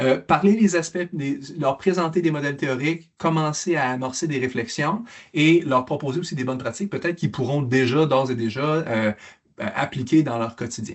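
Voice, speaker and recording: Ordinary pitch movement marks this man's fairly high voice. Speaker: mental health program presenter. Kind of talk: conference presentation. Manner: fast; halting with repetitions.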